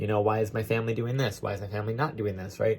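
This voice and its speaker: A man's voice at medium pitch. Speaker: astrologer. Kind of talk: lecture. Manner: loud.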